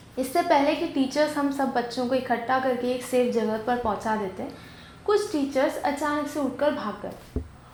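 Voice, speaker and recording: A woman speaks with a high pitch and ordinary pitch variation. Noticeable background noise and audible room echo fill the recording. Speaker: video host and interviewer. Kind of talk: scripted narration.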